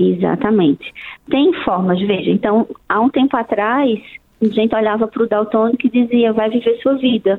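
A woman at a fairly high pitch, moderate in pace, with very even loudness and ordinary pitch variation. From Brazil, outside Brasília. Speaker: ophthalmologist. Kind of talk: radio interview.

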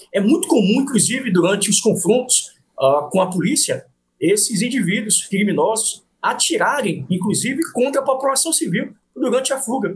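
Pitched extremely high, a man speaks at a moderate pace with lively intonation. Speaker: politician and police officer. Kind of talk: interview.

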